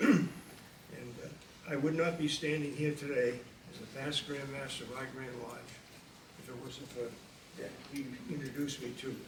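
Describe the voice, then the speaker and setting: A man talks at a moderate pace in a fairly high pitch with fairly even intonation. Noticeable background noise and audible room echo fill the recording. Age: 80s+. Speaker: retired Freemason grand master. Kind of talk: tribute speech. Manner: halting.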